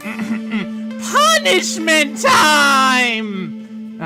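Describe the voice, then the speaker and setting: Over clear background music, a put-on character voice speaks at a fairly high pitch. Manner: dramatic, theatrical.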